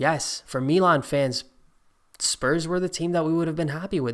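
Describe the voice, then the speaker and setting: With an animated tone and ordinary pitch variation, a man talks at a fairly quick pace. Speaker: football YouTuber streaming a draw reaction. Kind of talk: live stream commentary. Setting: live stream. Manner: loud at times.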